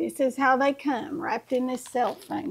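The voice belongs to a woman with a high pitch. There is light background noise. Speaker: home cooking vlogger. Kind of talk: tutorial. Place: kitchen.

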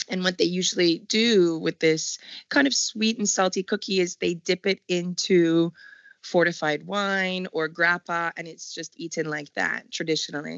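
Speaking with a Canadian accent, a woman uses an ordinary speaking voice at medium pitch with ordinary pitch variation. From Montreal, Canada. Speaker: chef. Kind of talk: interview.

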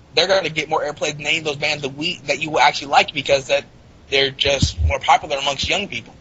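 A man's fairly high-pitched voice at a very fast pace, fairly even in intonation, over noticeable background noise. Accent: American. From US South, Florida near the Georgia border. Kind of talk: casual chat.

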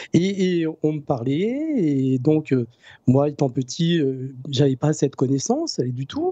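A man speaks at a very slow pace in a fairly high pitch with ordinary pitch variation and a dark, mellow tone. The sound is dry with no echo, over a quiet background. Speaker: energy healer; guest. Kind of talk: interview; interview answer. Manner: halting. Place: home room. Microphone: new microphone, good sound; studio mic.

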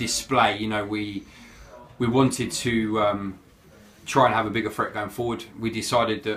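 A man's fairly low-pitched voice in a monotone, flat intonation at a moderate pace, over light background noise. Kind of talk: interview answer. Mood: pleased, reflective. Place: office. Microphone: phone near.

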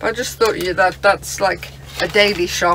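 Faint background noise behind a woman's fairly low, fairly bright voice, with fairly even intonation at a moderate pace

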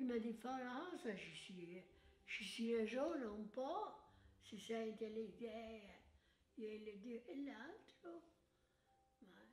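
A woman with fairly high pitch speaks at a very slow pace with long, frequent pauses. Her intonation is lively, and her loudness swings widely. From Tuscany, Italy. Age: 80s+. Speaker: centenarian. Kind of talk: interview answer.

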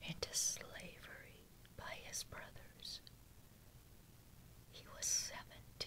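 The whispering unfolds at a very slow pace. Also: woman. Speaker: Bible reader. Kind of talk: Bible reading with commentary. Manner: soft-spoken. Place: home room.

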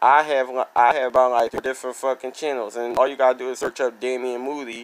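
The man's intonation stays monotone and flat throughout. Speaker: vlogger. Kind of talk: casual vlog chat, venting. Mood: annoyed, venting frustration. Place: home room. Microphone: phone near.

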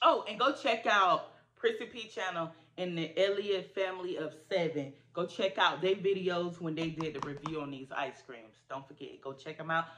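A woman's fairly low-pitched voice at a moderate pace, with light background noise. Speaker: food reviewer vlogger. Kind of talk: casual vlog chat. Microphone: phone near.

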